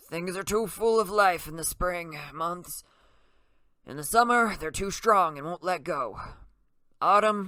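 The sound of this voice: Putting on a shaky character voice, a man speaks high in pitch at a fairly slow pace, with ordinary pitch variation and long, frequent pauses.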